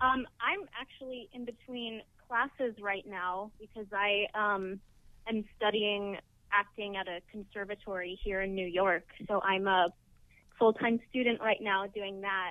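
Here a woman talks at a fairly slow pace. Her intonation is fairly even. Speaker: actor being interviewed. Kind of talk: interview answer. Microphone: phone line.

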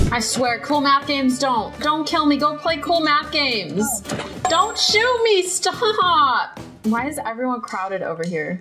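Against clear music in the background, a woman with a high voice moves through very wide pitch swings. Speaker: gaming streamer. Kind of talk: casual gameplay chat. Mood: playful, teasing. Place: home room.

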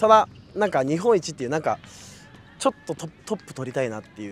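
A man with very wide pitch swings and a very fast pace. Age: 20s. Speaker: entertainer and producer, tryout applicant. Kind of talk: group interview.

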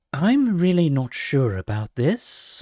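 A put-on character voice sits at a low-to-middle pitch and moves at a fairly slow pace. Its pitch swings very widely. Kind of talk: book reading aloud. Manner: hesitant, worried.

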